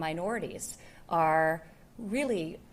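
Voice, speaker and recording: A woman with a New York accent. Her pitch sits fairly low. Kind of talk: public speech.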